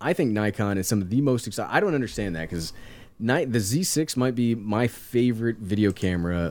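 A man in a normal speaking voice at medium pitch talks at a fairly quick pace with lively intonation, recorded very cleanly against a silent background. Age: 30s. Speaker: tech YouTuber. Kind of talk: casual interview chat.

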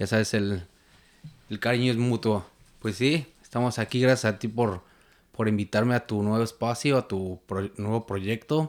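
Man's medium-pitched voice in a Mexico City accent, fairly slow, with fairly even intonation on a very clean recording with a silent background. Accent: Mexico City Spanish (chilango). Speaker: Facebook group moderator. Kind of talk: casual chat.

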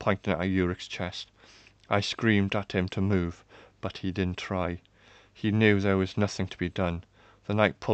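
The speaker reads in a natural voice. That reading voice stays natural from start to finish.

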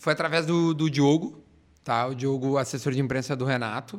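Over a very clean recording with a silent background, a man with a fairly high pitch and an unremarkable speaking voice talks at a fairly quick pace with ordinary pitch variation. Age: 30s. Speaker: radio and TV personality. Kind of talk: casual chat.

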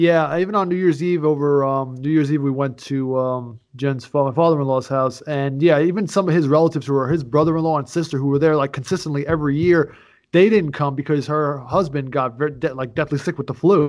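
A man talking at a fairly quick pace with hardly any pauses, on a very clean recording with a silent background. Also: fairly high pitch for a man. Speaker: podcast host. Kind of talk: casual chat. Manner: animated.

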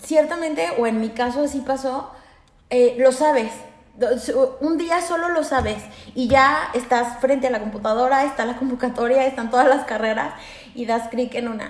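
Over noticeable background noise and audible room echo, a woman with a Mexican accent speaks at a high pitch and a moderate pace with ordinary pitch variation. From Aguascalientes, Mexico. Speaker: lawyer, host's roommate. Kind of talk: casual chat.

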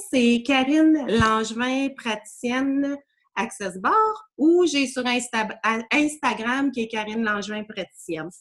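A woman with a high pitch and ordinary pitch variation speaks at a very slow pace. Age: 40s. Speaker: energy healing practitioner. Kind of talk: casual interview chat.

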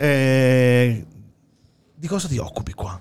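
A man talks with music playing in the background. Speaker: radio podcast host. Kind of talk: casual interview. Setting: studio. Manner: halting, many fillers and repetitions.

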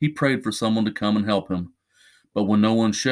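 Someone does plain reading aloud, and the background stays quiet.

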